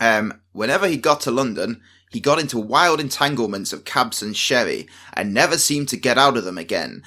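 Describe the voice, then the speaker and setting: On a very clean recording with a silent background, a man with a bright, sharp tone and medium pitch speaks at a moderate pace with lively intonation. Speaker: podcast co-host. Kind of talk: casual chat. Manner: chatty, humorous, hesitant.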